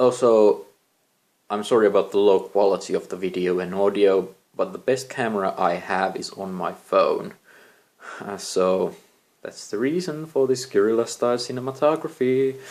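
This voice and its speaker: A man with a non-native accent talks at a moderate pace, medium pitch and lively intonation. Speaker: amateur novelist, vlogger. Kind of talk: casual vlog talk. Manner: halting, with many fillers.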